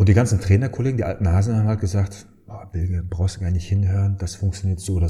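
In a very clean recording with a silent background, a man speaks at a very deep, low pitch, somewhat breathy, with a dark, mellow tone and fairly even intonation. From Germany, Dortmund (Ruhr area). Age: 30s. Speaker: founder and sales trainer. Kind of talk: casual interview.

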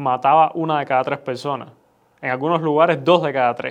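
This man's pitch sits fairly high. His intonation is monotone and flat. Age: 20s. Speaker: son of the host, commentator. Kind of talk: conversational discussion. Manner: halting, repeats words.

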